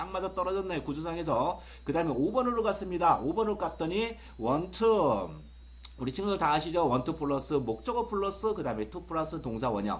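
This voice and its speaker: With audible room echo, an animated man with a high pitch talks at a fairly quick pace, his voice making very wide pitch swings. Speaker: English grammar teacher. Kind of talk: video lecture. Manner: fast.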